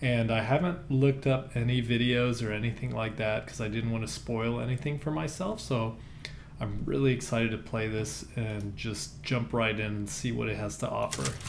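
A man talks at a moderate pace with ordinary pitch variation. Light background noise sits behind him. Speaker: gamer. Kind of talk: casual gaming commentary. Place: home room. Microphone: headset.

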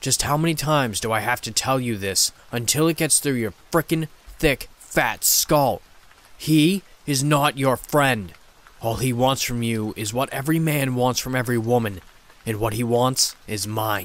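Growling, hissing and bellowing, a man performs a put-on character voice at a medium pitch. His pace is moderate. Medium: read story. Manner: roaring, growling, seething, contemptuous.

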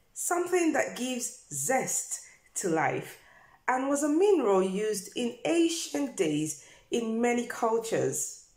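A woman speaks at a very slow pace and a high pitch. The background is quiet, with audible room echo. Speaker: health vlogger. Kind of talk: informative vlog talk. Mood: warm and friendly. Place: home room. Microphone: phone near.

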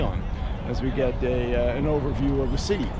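A man's fairly quick speech comes in a dry sound with no echo, with noticeable background noise present. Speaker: travel vlogger. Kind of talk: casual vlog chat. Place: street. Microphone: phone near.

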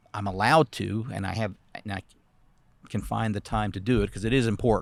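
A man's fairly low-pitched voice with vocal fry and fairly even intonation, at a very fast pace, on a very clean recording with a silent background. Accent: American. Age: 60s. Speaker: city council candidate. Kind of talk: interview. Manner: halting.

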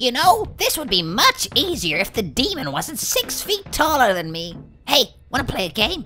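A man puts on a character voice at an extremely high pitch, speaking at a moderate pace. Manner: panicky, whiny.

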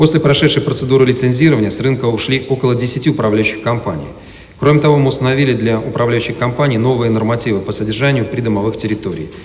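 A man talks at a very fast pace with a medium pitch and ordinary pitch variation. Noticeable background noise sits behind him. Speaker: city mayor. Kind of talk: official report speech. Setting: city council session hall. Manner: formal.

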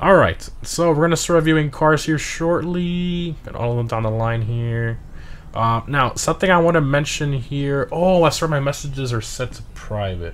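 Noticeable background noise sits behind a man who speaks at a moderate pace and fairly high pitch with lively intonation. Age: 20s. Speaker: gaming livestreamer. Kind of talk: casual livestream commentary. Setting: livestream with live chat. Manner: animated.

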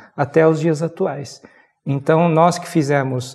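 Somewhat breathy and with a Brazilian accent, the speaker goes at a fairly slow pace. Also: man. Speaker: Buddhism teacher. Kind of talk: interview. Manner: halting. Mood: calm, measured explanation. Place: studio. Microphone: lapel.

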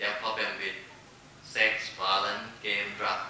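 Spoken with a Thai accent, the clip carries strong room echo and light background noise. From Thailand. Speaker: corporate foundation executive. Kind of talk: panel presentation. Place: hall.

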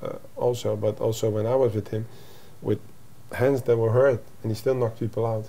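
A man with a Dutch accent speaks at medium pitch and a fairly quick pace in a monotone, flat intonation. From Netherlands. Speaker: MMA coach; fight coach guest. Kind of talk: interview. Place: home room.

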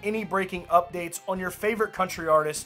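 Faint music plays in the background as a man with a high pitch talks at a fairly quick pace with fairly even intonation. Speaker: country music news host. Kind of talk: news commentary vlog. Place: home room.

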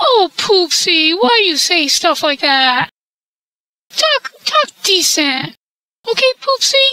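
Very slow and full of long, frequent pauses, a man's extremely high voice makes very wide pitch swings in a dry, close sound with no echo. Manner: prim, scolding, folksy.

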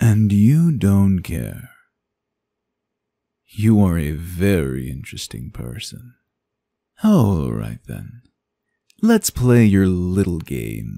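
In a very clean recording with a silent background, a man uses a put-on character voice with a very deep, low pitch, a calm tone, a very slow pace and long, frequent pauses. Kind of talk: ASMR roleplay. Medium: audio drama. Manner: teasing, seductive, calm.

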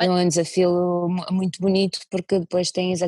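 Over faint music in the background, a woman with a fairly low pitch talks at a moderate pace in a dry sound with no echo. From Russia (Moscow); Russia. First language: Russian (speaking Portuguese). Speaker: violinist and singer; interviewee. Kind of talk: interview. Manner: halting. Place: home room. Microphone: earbuds.

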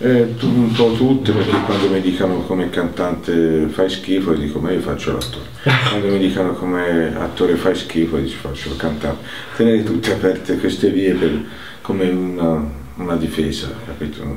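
A man speaks at a moderate pace in a very deep, low voice with ordinary pitch variation over noticeable background noise. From Livorno, Tuscany. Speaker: singer-songwriter, actor, poet. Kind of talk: interview answer.

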